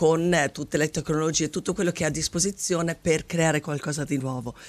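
A woman with a very deep, low pitch, fairly even intonation and a moderate pace. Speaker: artistic director of a dance company. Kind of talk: radio interview. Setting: radio studio. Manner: halting. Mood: passionate, reflective. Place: studio. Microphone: studio mic.

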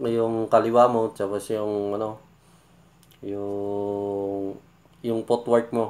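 A man's voice with monotone, flat intonation. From Philippines. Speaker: YouTube reaction vlogger. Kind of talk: casual reaction commentary. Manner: halting, many fillers. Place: home room. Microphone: phone near.

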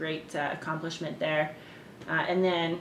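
A woman with a Canadian accent talks at a fairly slow pace in a fairly low pitch, with monotone, flat intonation. There is audible room echo and light background noise. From Canada, Winnipeg; Manitoba, Canada. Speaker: ultimate frisbee player; interviewee. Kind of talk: interview. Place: home room. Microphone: camera far.

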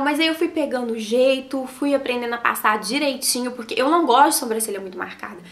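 A woman with a high pitch talks at a fairly quick pace with lively intonation over noticeable background noise. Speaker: makeup artist and beauty vlogger. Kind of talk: makeup tutorial. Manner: animated.

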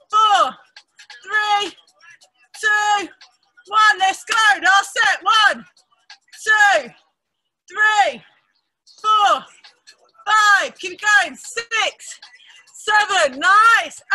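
Shouting at a very slow pace with long, frequent pauses, the voice has a bright, sharp tone, big swings in loudness and ordinary pitch variation. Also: woman. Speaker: fitness instructor. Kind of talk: workout class instruction and counting. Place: garden.

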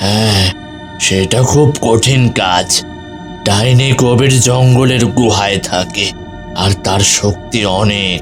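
Over loud music in the background, a man in a cartoonish character voice speaks at a very slow pace and fairly low pitch.

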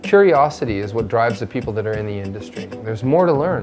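Over music in the background, a man talks at a very fast pace with lively intonation. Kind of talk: interview answer. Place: workshop.

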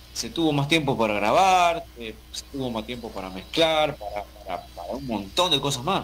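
A man with a medium pitch and vocal fry speaks at a moderate pace, his pitch swinging very widely and his loudness shifting in big swings. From Argentina. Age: 40s. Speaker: metal musician. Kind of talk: interview.

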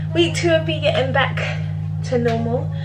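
A woman is speaking. Loud background noise is heard behind her. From Nigerian background, London. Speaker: vlogger. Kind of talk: casual vlog talk to camera. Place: kitchen. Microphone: phone near.

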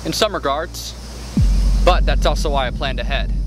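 With music in the background, a man speaks in a dry sound with no echo. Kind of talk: acted dramatic dialogue. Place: forest.

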